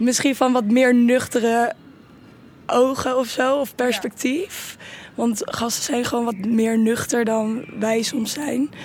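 The speech moves at a very slow pace with fairly even intonation, over noticeable background noise. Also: woman, high pitch for a woman. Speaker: student. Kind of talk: casual chat. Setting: garden.

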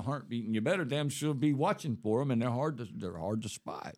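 Talking at a very fast pace with a Southern US accent, a man uses ordinary pitch variation on a very clean recording with a silent background. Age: 60s. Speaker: ex-convict guest. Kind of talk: casual chat.

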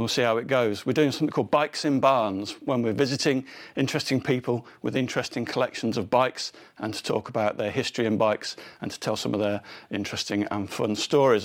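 On a very clean recording with a silent background, a man with an English accent speaks at a very fast pace with a medium pitch and ordinary pitch variation. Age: 50s. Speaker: podcast host. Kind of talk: scripted narration; casual chat. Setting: barn.

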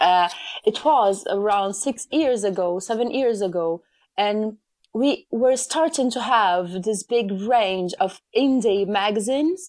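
Against a quiet background, a woman with a fairly high pitch speaks at a very slow pace with lively intonation. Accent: Brazilian Portuguese. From Brazil. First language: Portuguese. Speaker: magazine editor. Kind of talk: casual interview chat. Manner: hesitant, with many fillers.

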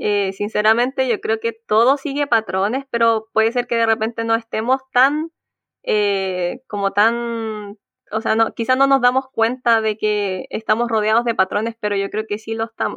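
A woman speaks with a fairly high pitch. Her intonation is fairly even and her pace moderate. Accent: Chilean. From Chile, Concepción. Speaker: PhD student in engineering. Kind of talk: casual interview.

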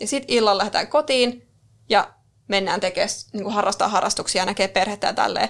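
Speaking very fast, a woman uses a medium pitch and ordinary pitch variation. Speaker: podcast co-host, marketing worker. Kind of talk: casual chat. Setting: studio.

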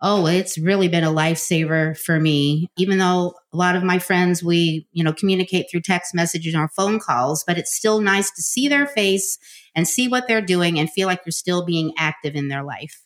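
A woman with an ordinary speaking voice talks at a fairly low pitch with ordinary pitch variation. She keeps a moderate pace with hardly any pauses. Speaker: social media guest, team builder. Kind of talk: interview. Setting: recorded together in person.

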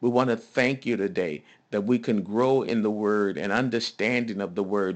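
A man's fairly low-pitched voice at a fairly slow pace, with ordinary pitch variation, over a quiet background. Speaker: pastor leading prayer. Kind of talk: fervent prayer of thanksgiving, spoken aloud to God. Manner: earnest, impassioned, rising with conviction; rhythmic, repetitive, with 'thank you' refrains and amens.

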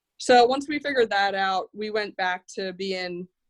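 A normal speaking voice from a woman at medium pitch, moderate pace and ordinary pitch variation, with a dry, close sound, no echo and a quiet background. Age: 30s. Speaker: snow management company president. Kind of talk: podcast interview.

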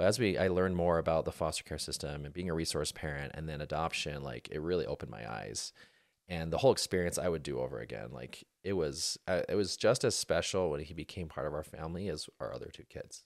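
With an American accent, a man talks at a very fast pace with hardly any pauses, his very deep, low voice showing vocal fry, ordinary pitch variation and big swings in loudness, on a very clean recording with a silent background. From Utah. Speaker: plastic surgeon. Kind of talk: casual chat.

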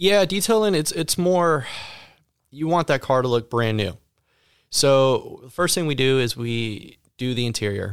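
A man speaks at a medium pitch, in an unremarkable speaking voice. The recording is very clean, with a silent background. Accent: American. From Ohio. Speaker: auto detailing business owner. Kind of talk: interview. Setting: studio.

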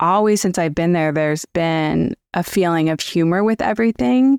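A plain, everyday voice moves at a moderate pace with lively intonation and very even loudness. The recording is very clean and dry, close with no echo, over a silent background. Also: woman. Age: 40s. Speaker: career coach. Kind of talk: casual interview.

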